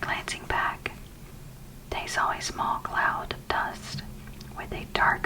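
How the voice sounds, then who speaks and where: Whispered words come fairly slowly, with noticeable background noise around them. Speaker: ASMR content creator. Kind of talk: ASMR whispered audiobook reading. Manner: whispered, soft-spoken.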